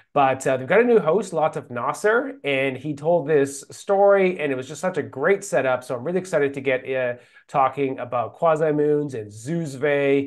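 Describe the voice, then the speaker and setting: A man talks at a moderate pace with hardly any pauses and ordinary pitch variation. The background is quiet. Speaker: program host. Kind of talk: livestream host intro. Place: office.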